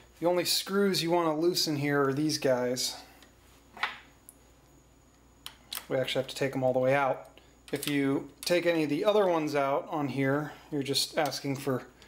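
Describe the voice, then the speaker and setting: Delivered at a moderate pace with long, frequent pauses, the speech comes over light background noise. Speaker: hobbyist demonstrator. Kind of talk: tutorial. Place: workshop.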